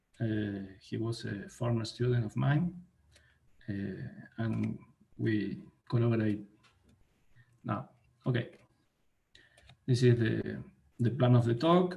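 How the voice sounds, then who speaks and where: A man with a Spanish accent speaks at a fairly slow pace and medium pitch, his somewhat breathy voice having a dark, mellow tone. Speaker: mathematician. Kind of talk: academic lecture. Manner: halting, many fillers. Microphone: too quiet for listeners.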